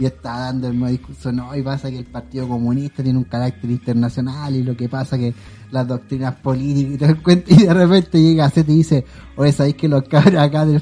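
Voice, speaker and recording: Over music in the background, a speaker with a Chilean accent talks at a very fast pace with ordinary pitch variation. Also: man. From Chile (Santiago, Quilicura). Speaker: podcast co-host. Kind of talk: casual chat.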